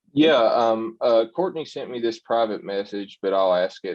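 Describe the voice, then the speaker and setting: At a moderate pace, a man speaks at medium pitch with very wide pitch swings. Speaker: clean energy professional. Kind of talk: panel discussion.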